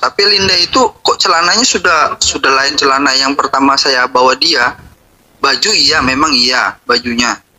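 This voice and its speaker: A man's lively intonation at a moderate pace, with noticeable background noise. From West Kalimantan, Indonesia. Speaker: interviewee in a viral case. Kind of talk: interview.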